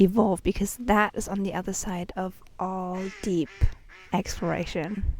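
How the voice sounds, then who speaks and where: With a non-native accent, a woman speaks at a moderate pace in a dark, mellow tone and fairly even intonation. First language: not English. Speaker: spiritual vlogger. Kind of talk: casual spiritual talk to camera. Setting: outdoors on a bench, sandy place.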